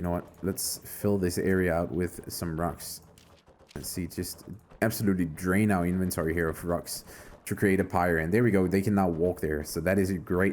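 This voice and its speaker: At a moderate pace, a man speaks in a very deep, low pitch with fairly even intonation. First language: not English. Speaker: gaming YouTuber. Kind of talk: let's play commentary. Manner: casual, thinking aloud.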